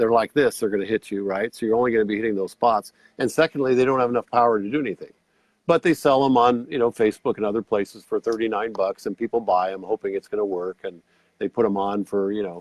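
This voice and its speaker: A man talks at a fairly quick pace with an ordinary speaking voice and ordinary pitch variation. The recording is dry and close, with no echo. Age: 60s. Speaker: red light therapy product seller. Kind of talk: product demonstration in a show interview. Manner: casual, conversational.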